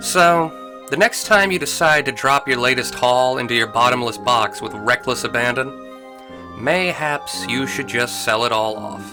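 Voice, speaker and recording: Music plays in the background as the speaker talks at a moderate pace. The tone is relaxed and playful, with lively intonation. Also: man, medium pitch for a man. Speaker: video game lore narrator. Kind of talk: casual lore narration. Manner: relaxed, natural, playful.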